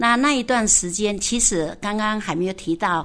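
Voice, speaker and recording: Here is a woman with a plain, everyday voice at medium pitch. Her intonation is lively and her pace moderate. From Taitung, Taiwan. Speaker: senior hospital staff, village leader. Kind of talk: personal storytelling interview.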